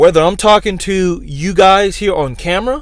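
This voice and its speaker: Loud and at a moderate pace, a man speaks with a high pitch for a man. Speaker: YouTuber giving career advice. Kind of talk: motivational talk to camera.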